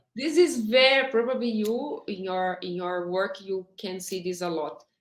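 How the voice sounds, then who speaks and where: A woman at medium pitch with a strong non-native accent, fairly slow, with lively intonation and big swings in loudness. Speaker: HR director. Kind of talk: interview. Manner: halting.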